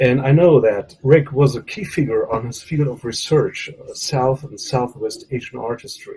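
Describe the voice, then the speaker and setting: A man with a non-native accent, somewhat breathy, at a medium pitch and fairly slow pace, with ordinary pitch variation. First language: not English. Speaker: professor. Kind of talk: memorial tribute speech. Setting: video call. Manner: halting.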